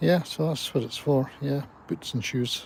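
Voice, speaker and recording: A man speaks at a fairly slow pace with a Scottish accent, his voice somewhat breathy. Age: 70s. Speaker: gardening vlogger. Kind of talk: casual live stream chat.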